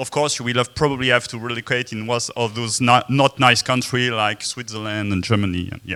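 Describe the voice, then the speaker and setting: Speaking at a moderate pace, a man has a slight French accent. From France. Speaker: software developer and conference speaker. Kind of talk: conference talk. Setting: stage with audience. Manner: hesitant, many filler sounds. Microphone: speaking without the mic.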